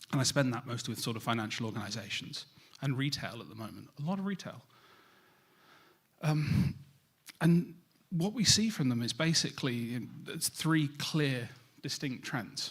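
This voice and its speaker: A man with a British accent, fairly high-pitched and somewhat breathy, lively in intonation, at a moderate pace with long, frequent pauses. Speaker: cybersecurity industry speaker. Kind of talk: conference presentation.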